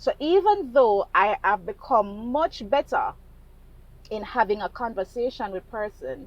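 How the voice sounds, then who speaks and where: Her fairly high voice swings very widely in pitch as the woman speaks at a fairly slow pace. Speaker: vlogger in sales. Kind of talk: casual monologue vlog. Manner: slow, measured; hesitant, halting.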